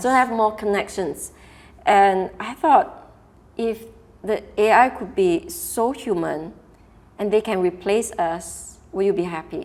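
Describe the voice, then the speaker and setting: Lively intonation carries speech at a very slow pace. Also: woman, fairly high pitch for a woman. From Singapore. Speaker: keynote speaker and workshop facilitator. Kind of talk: interview answer. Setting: studio.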